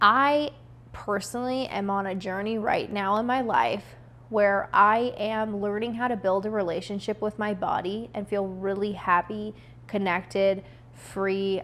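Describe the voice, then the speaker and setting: A woman's ordinary speaking voice at a medium pitch, fairly slow in pace, with fairly even intonation. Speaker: lifestyle vlogger. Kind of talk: personal reflection monologue.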